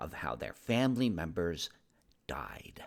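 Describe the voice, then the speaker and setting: A man's put-on character voice at a medium pitch, delivered at a moderate pace. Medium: read story. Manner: gentle, hesitant.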